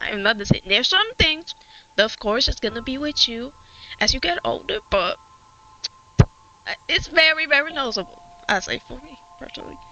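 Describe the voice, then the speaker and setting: A woman with a strong Puerto Rican accent speaks at a moderate pace in a high voice, with very wide pitch swings and big swings in loudness. She leaves long, frequent pauses, and music plays in the background. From Puerto Rico. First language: Spanish. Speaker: gaming streamer. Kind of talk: casual chat. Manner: halting.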